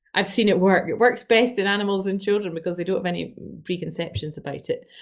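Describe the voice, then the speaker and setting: Speaking very fast at a medium pitch, a woman with a Scottish accent uses ordinary pitch variation against a quiet background. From Scotland, Glasgow. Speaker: doctor. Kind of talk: interview.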